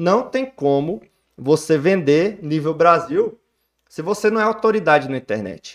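The intonation is lively. Delivery comes at a fairly slow pace. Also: man. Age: 30s. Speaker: physical education trainer. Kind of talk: casual chat.

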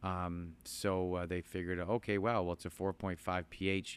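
A man's very deep, low voice, flat and monotone, on a very clean recording with a silent background. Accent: Ontario. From southern Ontario, Canada. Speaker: farmer and plant nursery owner. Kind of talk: casual interview. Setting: inside a greenhouse on a farm. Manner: halting, many fillers and repetitions.

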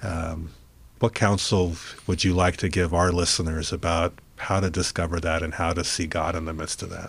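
A man speaks in a flat, monotone way at a moderate pace. His voice is somewhat breathy. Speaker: interviewer. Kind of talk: casual interview.

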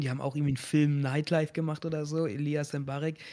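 A man speaks at a fairly quick pace with a fairly high pitch. His intonation is monotone and flat. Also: very clean recording, silent background. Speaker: streamer and event show host. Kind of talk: casual chat.

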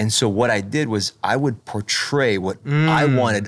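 Delivery comes at a fairly slow pace with ordinary pitch variation. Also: man. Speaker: pastor, podcast guest. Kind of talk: casual. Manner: conversational, relaxed.

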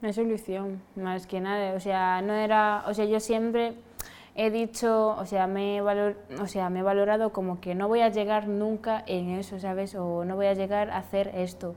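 A woman's medium-pitched, monotone, flat intonation at a moderate pace. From Senegal. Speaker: fashion model. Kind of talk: casual chat.

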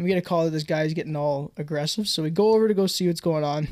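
A man with a fairly high pitch talks at a very fast pace, keeping a fairly even intonation. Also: very clean recording, silent background. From Alberta, Canada. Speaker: podcast co-host. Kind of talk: casual chat. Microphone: new mic.

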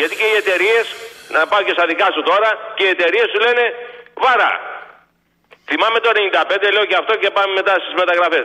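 A man's high-pitched voice, fairly even in intonation, broken by long, frequent pauses. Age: 60s. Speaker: caller, former truck driver. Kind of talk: phone-in call.

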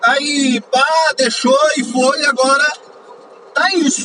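A man speaks in a raised, projected voice at an extremely high pitch. His pitch varies in an ordinary way, with noticeable background noise. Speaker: podcaster. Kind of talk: angry rant about politics, swearing at the government and vaccine policy. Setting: in a car, driving, poor audio quality. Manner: heated, exasperated, loud and emphatic, punchy rhetorical questions; casual, chatty, informal slang.

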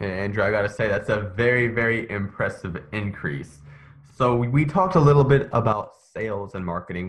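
Against a quiet background, a man speaks at a medium pitch. His voice is somewhat breathy, with lively intonation. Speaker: podcast host. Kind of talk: interview. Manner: tongue-tied at times.

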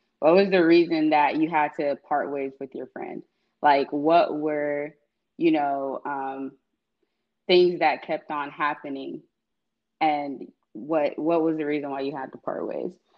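This speaker has an American accent and talks at a fairly slow pace in a flat monotone, with long, frequent pauses and big swings in loudness. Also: woman, very deep, low pitch for a woman. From US South, Atlanta, Georgia. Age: 20s. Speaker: young professional. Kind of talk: casual chat.

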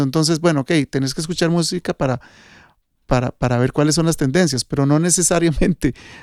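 Dry and close with no echo, the very clean recording with a silent background captures a man of fairly high pitch speaking with fairly even intonation. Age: 50s. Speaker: sound engineer. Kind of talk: casual chat. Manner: halting.

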